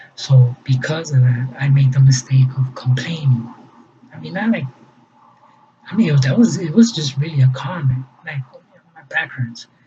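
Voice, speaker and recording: A man with a Spanish accent speaks at a medium pitch and a moderate pace, with long, frequent pauses. His intonation is lively and his loudness swings widely. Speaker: fundraiser vlogger. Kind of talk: personal explanation monologue. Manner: halting, many fillers and repetitions.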